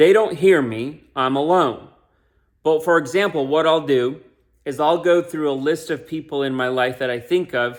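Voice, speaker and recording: A man with an American accent has an ordinary speaking voice, fairly high-pitched with ordinary pitch variation, at a moderate pace in a very clean recording with a silent background. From US (immigrated from Ukraine at three). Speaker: self-help vlogger. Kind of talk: casual talk to camera. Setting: alone. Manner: conversational.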